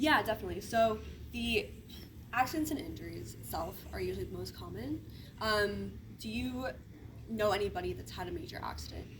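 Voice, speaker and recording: Against audible room echo, a woman speaks at a fairly quick pace, broken by long, frequent pauses, with big swings in loudness. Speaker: insurance sales agent. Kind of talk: sales pitch. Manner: fast.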